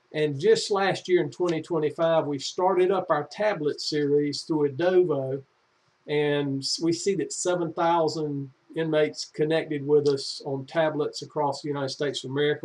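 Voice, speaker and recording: A man with a North Carolina accent, fairly high in pitch, dark and mellow in tone, at a moderate pace with fairly even intonation. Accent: Southern US (North Carolina). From US South, North Carolina (Anson County). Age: 60s. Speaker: executive director of a prison reentry nonprofit. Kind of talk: informational talk to camera. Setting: home office. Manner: casual, folksy, with fillers.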